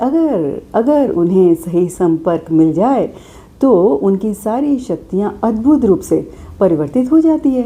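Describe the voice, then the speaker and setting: A woman with a calm, dark, mellow tone speaks at medium pitch with very wide pitch swings and very even loudness. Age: old. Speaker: spiritual speaker. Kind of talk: spiritual talk.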